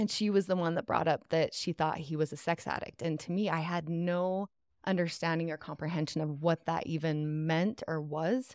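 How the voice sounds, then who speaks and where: A normal speaking voice at a moderate pace, fairly even intonation, very clean recording with a silent background. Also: woman, fairly low pitch for a woman. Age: 40s. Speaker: life coach. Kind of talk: testimony. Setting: studio.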